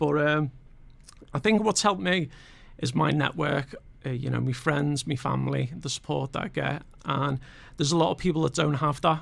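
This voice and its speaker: A man with a Scouse accent, vocal fry and long, frequent pauses. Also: fairly high pitch for a man, ordinary pitch variation, moderate pace. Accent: Scouse, slightly posher from Formby. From Liverpool, England (Aintree, later Formby). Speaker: motivational guest, former Marine and pilot. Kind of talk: radio interview. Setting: radio studio. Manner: halting, many fillers.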